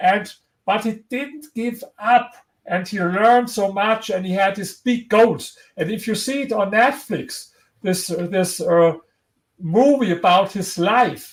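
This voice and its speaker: In a strong German accent, a high-pitched man speaks at a very slow pace with ordinary pitch variation, on a very clean recording with a silent background. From Germany. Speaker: historian and author. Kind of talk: interview. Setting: livestream video interview. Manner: halting, with repetitions.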